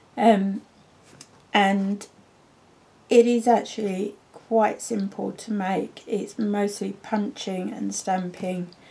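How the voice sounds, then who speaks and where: A woman speaks at a very slow pace with long, frequent pauses, her medium-pitched voice somewhat breathy, dark and mellow in tone, with monotone, flat intonation. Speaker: papercraft demonstrator. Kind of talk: tutorial.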